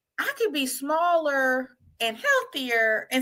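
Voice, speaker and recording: A woman's raised, projected voice, high in pitch, with lively intonation and an American accent. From Virginia (Arlington, DC area). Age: 40s. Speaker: project manager and life coach. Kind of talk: interview conversation.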